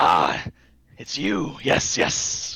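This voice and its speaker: A man puts on a character voice. It comes out gravelly. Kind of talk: formal, archaic. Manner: anticipatory, servile.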